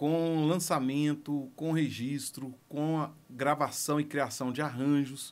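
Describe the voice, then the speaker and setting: Over a very clean recording with a silent background, the speech moves at a very slow pace. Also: man. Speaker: music producer. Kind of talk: personal story monologue.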